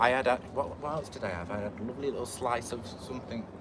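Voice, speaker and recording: A man's medium-pitched voice, with ordinary pitch variation, moves at a fairly quick pace through noticeable background noise. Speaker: YouTuber. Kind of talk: casual chat. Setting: livestream at an airport. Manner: chatty.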